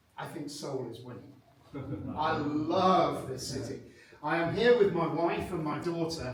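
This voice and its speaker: With a British accent, the speaker goes at a fairly slow pace with long, frequent pauses, ordinary pitch variation and big swings in loudness, amid audible room echo and noticeable background noise. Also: man, fairly high pitch for a man. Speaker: proposal management consultant. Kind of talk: seminar presentation. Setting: conference room with audience, microphones.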